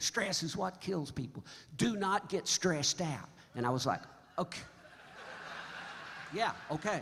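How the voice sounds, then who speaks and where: A man with a high voice and an American accent, fairly slow and animated, with lively intonation and long, frequent pauses. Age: 70s. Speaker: singer-songwriter. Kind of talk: stage banter. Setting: stage with audience. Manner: halting.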